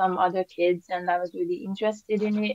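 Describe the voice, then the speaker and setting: Recorded dry and close with no echo, a woman speaks with fairly even intonation in a Hungarian accent. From Hungary. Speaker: painter. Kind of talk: interview. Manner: hesitant, many fillers.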